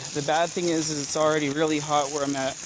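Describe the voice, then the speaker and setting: Very fast speech over noticeable background noise. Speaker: citizen journalist. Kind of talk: live on-scene narration. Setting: outdoors.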